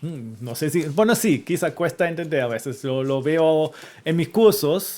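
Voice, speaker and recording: This man's intonation is lively. He speaks at a fairly slow pace. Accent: German. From Germany. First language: German (speaking Spanish). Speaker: historian and university lecturer. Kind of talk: interview conversation. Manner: halting, with frequent repetitions.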